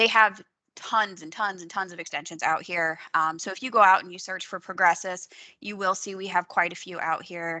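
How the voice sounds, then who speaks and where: A woman speaks in a bright, sharp tone with fairly even intonation over a quiet background. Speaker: software trainer. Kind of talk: training webinar. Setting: video call. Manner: fast. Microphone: video call.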